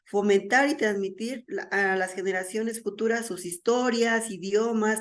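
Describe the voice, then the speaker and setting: Her pitch medium and her pace moderate, a woman speaks with audible room echo. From Mexico. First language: Mazahua (speaking Spanish). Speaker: conference speaker. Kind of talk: lecture.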